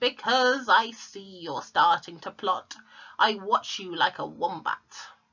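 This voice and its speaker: A woman's put-on character voice, shrill and cackling, medium in pitch and fairly slow in pace. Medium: read story. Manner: shrill, cackling.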